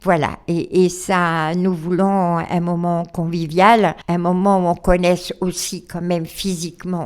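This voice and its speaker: A woman speaks in a monotone, flat intonation at a very slow pace with hardly any pauses. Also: very clean recording, silent background. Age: 80s+. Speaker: charity president. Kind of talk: radio interview. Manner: hesitant, many fillers.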